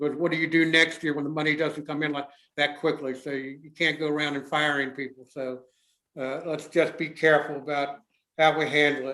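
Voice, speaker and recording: A man with a fairly high pitch speaks in a monotone, flat intonation, his loudness swinging widely. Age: 70s. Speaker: mayor chairing town commission meeting. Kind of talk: public meeting remarks. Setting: town council meeting, live streamed.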